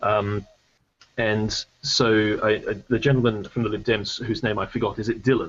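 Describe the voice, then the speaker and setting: The speaker uses fairly even intonation with an Australian accent. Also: man, fairly low pitch for a man, moderate pace. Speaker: debate panelist. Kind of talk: debate. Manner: halting, many fillers.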